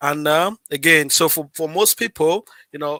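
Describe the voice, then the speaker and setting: A man with a fairly high pitch and a bright, sharp tone speaks at a fairly slow pace. The sound is dry and close with no echo. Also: very clean recording, silent background. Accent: non-native. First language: not English. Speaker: livestream host. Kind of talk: live stream tutorial. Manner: animated; halting, repeats words.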